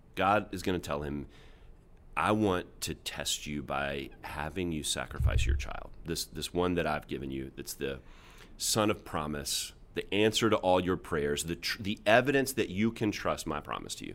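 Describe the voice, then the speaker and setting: Lively intonation and vocal fry in a very deep, low male voice at moderate speed. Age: 40s. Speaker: pastor. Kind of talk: casual chat.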